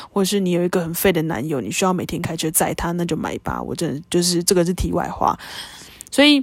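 A woman talks at a very fast pace with a fairly low pitch and vocal fry. Her intonation is lively. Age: 20s. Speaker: podcast host. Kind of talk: casual monologue.

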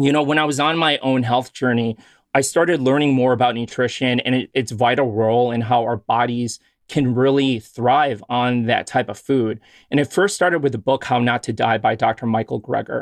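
A man with an American accent speaks in a plain, everyday voice at medium pitch and a moderate pace. His intonation is fairly even, and the background is quiet. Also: dry, close sound with no echo. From US Midwest, Chicago. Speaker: physician and podcast host. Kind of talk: casual interview chat.

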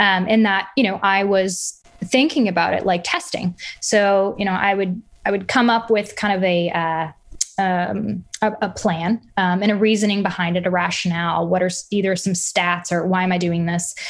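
A woman speaks with an American accent at a moderate pace, with medium pitch and very even loudness. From US South, Arkansas. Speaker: food entrepreneur. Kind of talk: interview. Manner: energetic.

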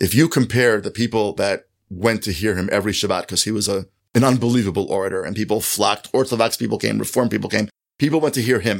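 A man's fairly low voice with vocal fry and ordinary pitch variation, at a very fast pace, in a very clean recording with a silent background. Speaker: author and college fellow. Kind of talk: interview conversation. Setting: office.

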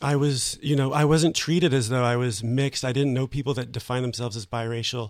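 A man with an American accent talks at a very fast pace with hardly any pauses, keeping a medium pitch and fairly even intonation. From US, New Jersey. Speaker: writer. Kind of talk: interview.

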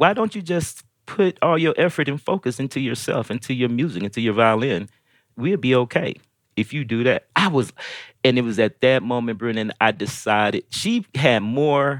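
On a very clean recording with a silent background, a man with an American accent and a normal speaking voice talks at a moderate pace, medium in pitch, with lively intonation. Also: dry, close sound with no echo. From US Midwest and Georgia (St. Louis, Decatur). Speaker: violinist. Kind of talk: interview.

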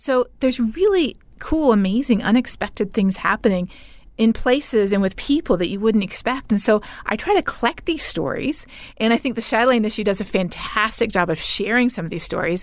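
A woman with an unremarkable speaking voice and a Canadian accent, fairly high-pitched and fairly quick, with lively intonation. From Canada. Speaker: climate scientist and professor. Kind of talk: interview.

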